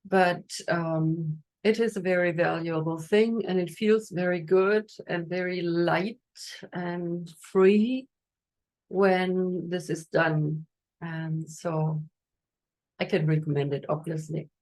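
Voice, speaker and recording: With a German accent, a woman talks at a very slow pace with long, frequent pauses, her fairly low voice keeping a fairly even intonation. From Germany. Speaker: energy healer. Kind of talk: guided meditation; masterclass talk. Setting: Instagram live stream. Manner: hesitant, many fillers.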